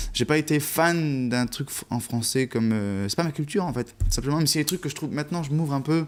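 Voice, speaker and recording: A man speaks fairly quickly, his intonation lively. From south-east France. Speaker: musician. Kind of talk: TV interview. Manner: halting.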